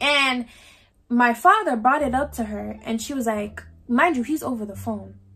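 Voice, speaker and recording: With music in the background, a woman speaks at a fairly slow pace in a high pitch with ordinary variation. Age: young. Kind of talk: casual storytime talk to camera. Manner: emotional, outspoken.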